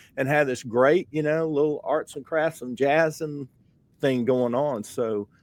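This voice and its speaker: Speaking in a Southern US accent, a man has a fairly high pitch with ordinary variation and a moderate pace. The recording is very clean, with a silent background and a dry, close sound with no echo. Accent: Southern US (Georgia). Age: 60s. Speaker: podcast host, painter. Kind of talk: casual interview chat. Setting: studio.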